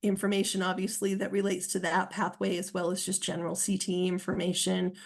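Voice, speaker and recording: Against a quiet background, a woman with an American accent speaks with monotone, flat intonation. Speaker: state education official. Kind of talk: webinar panel talk. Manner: fast; halting, many fillers.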